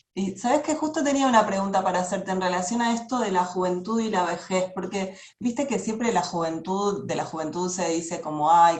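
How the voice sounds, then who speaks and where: Through audible room echo, a woman with a Rioplatense accent speaks at a fairly low pitch and a moderate pace, with ordinary pitch variation. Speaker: interviewer. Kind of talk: interview.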